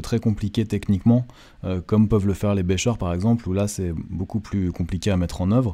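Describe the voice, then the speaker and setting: With fairly even intonation and a dark, mellow tone, a man talks at a fairly quick pace and fairly low pitch on a very clean recording with a silent background. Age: 30s. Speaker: photographer and photo mentor. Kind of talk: video talk presenting photo books. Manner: hesitant with many fillers.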